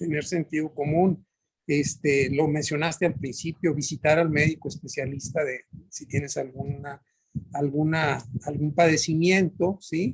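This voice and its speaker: Speaking at a fairly slow pace, a man with a fairly high, somewhat breathy voice keeps his intonation fairly even. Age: 60s. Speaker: workshop participant. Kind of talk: group discussion. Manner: halting.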